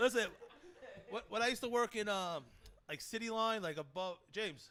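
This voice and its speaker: A man's high, raised and projected voice with a Brooklyn accent, animated in tone, bright and sharp, at a fairly quick pace. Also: ordinary pitch variation. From New York, Brooklyn. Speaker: podcast host. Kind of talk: casual chat.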